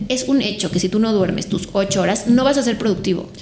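Through audible room echo and noticeable background noise, a woman with a fairly high voice talks at a very fast pace with very wide pitch swings. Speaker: sleep consultant. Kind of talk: interview.

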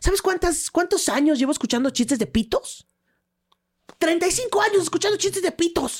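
A woman's extremely high-pitched voice with an animated, playful tone, very wide pitch swings and a Mexican accent. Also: moderate pace. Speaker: stand-up comedian. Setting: studio. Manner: animated, playful, punchline-driven storytelling.

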